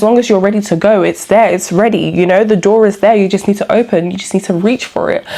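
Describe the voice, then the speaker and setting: A woman talks at a fairly quick pace with fairly even intonation. There is noticeable background noise. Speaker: vlogger. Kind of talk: casual personal vlog monologue. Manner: fast; hesitant, many fillers.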